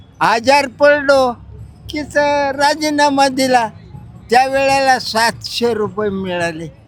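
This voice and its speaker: Over music in the background, a man speaks at an extremely high pitch with ordinary pitch variation. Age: 80s+. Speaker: pilgrim, former porter. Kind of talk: interview answer. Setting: outdoors.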